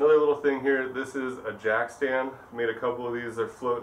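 A man speaks at a moderate pace. Light background noise and audible room echo are present. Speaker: glassblower demonstrating tools. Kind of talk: tutorial. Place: shop.

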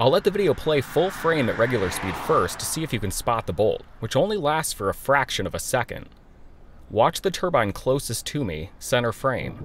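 A man with an American accent speaks at a fairly high pitch. His pitch swings very widely. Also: moderate pace. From US Midwest. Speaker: meteorologist and storm chaser. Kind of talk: scripted narration.

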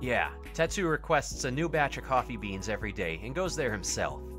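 Against loud background music, a man does a gruff put-on character voice at a moderate pace. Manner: gruff, dismissive, irritable.

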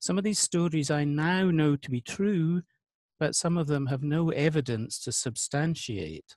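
A man with a fairly high pitch and a slightly mellow tone speaks at a fairly slow pace. His pitch varies in an ordinary way, and the sound is dry and close with no echo.

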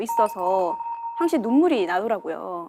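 A woman speaks in a fairly high pitch. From South Korea, Yeongcheon, North Gyeongsang. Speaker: religious practitioner. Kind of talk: testimony.

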